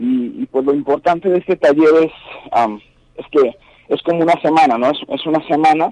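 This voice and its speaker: The sound is dry and close with no echo as a man with a fairly high pitch speaks at a moderate pace with lively intonation. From Mexico, Guanajuato. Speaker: special effects makeup artist. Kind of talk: phone interview. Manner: halting.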